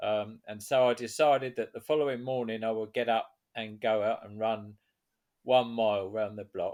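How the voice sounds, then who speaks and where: In an English accent, a man speaks at a moderate pace. His pitch is medium and his intonation fairly even. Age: 70s. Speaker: author and veteran runner. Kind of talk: interview. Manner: halting.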